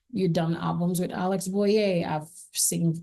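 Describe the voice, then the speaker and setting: A woman speaks in a Haitian accent. Her tone is dark and mellow. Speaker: singer. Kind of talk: interview testimony.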